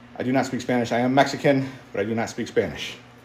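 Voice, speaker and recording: Amid noticeable background noise and audible room echo, a man talks at a very fast pace and medium pitch. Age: 50s. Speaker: strength athlete, fitness livestreamer. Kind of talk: casual livestream chat while working out. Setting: home basement gym. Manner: animated.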